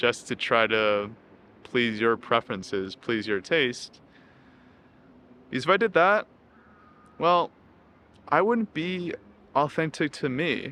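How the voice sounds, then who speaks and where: In a bright, sharp tone, a man talks at a very slow pace with very wide pitch swings and long, frequent pauses. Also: medium pitch for a man. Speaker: self-help YouTuber. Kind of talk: casual monologue to camera.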